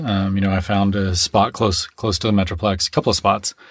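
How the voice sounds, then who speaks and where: Fairly low pitch from a man with a Texan accent, at a moderate pace. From Texas.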